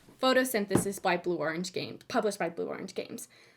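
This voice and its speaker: The speech moves at a fairly quick pace with ordinary pitch variation. There is noticeable background noise. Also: woman. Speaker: board game reviewer. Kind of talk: review video. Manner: casual.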